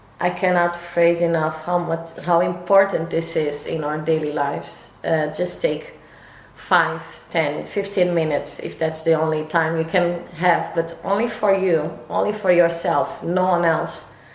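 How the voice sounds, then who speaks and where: In a room with audible echo and noticeable background noise, a woman speaks fairly slowly in a flat monotone at a fairly low pitch. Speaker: lifestyle vlogger. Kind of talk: casual vlog talk to camera. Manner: slightly halting, self-correcting.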